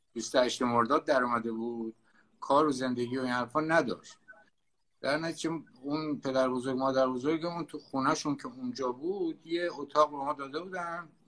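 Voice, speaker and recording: This man talks with a Tehrani accent. His pace is fairly quick. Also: ordinary pitch variation. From Tehran, Iran. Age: 70s. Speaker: sailor and desert explorer. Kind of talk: interview, storytelling.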